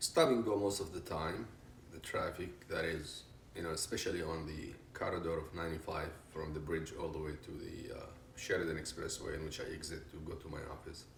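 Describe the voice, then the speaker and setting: Audible room echo follows a man speaking at a fairly quick pace. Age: 60s. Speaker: retired business consultant. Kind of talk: interview.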